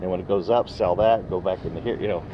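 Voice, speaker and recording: A man speaks with a fairly low voice. Noticeable background noise runs behind him. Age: 60s. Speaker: retired oilfield worker giving investment advice. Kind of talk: casual interview chat. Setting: recorded on a phone.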